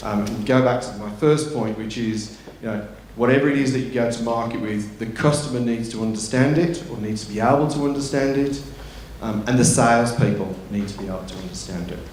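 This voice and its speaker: In a room with audible echo and noticeable background noise, a man talks at medium pitch and a fairly quick pace with ordinary pitch variation. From England. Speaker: tech company executive. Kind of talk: conference talk. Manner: halting, many fillers.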